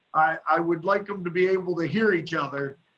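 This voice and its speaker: A loud, high-pitched male voice at a fairly quick pace, with fairly even intonation. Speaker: county supervisor. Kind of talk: committee meeting discussion.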